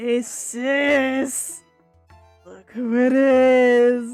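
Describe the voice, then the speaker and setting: Over faint music in the background, a female-sounding, put-on character voice speaks with a high pitch and monotone, flat intonation. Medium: virtual streamer. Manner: playful menace, taunting.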